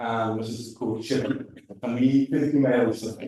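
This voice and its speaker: A man with a British accent has a dark, mellow tone and fairly even intonation. Audible room echo surrounds his voice. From UK. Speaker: tech talk speaker at nonprofit. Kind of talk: tech talk. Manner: casual, filler-heavy.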